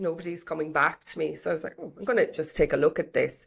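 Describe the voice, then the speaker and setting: A woman with an Irish accent at a very fast pace, in a very clean recording with a silent background. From Ireland. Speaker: HR professional and property business owner. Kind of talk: interview.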